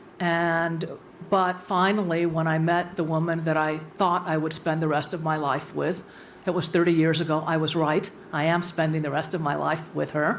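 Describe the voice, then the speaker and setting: Audible room echo around a woman speaking at a moderate pace and a fairly low pitch. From USA, born in Cuba. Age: 60s. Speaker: university president. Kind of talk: panel discussion.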